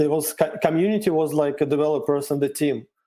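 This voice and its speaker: With a Russian accent, a man speaks at a fairly high pitch in a dark, mellow tone with ordinary pitch variation. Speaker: cryptocurrency developer. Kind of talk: interview. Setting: video call. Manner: halting.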